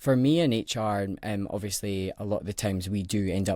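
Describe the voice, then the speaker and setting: The recording is very clean and the background silent. A man talks in a Scottish accent. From Scotland, Edinburgh. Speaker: HR professional, podcast guest. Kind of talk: casual interview chat.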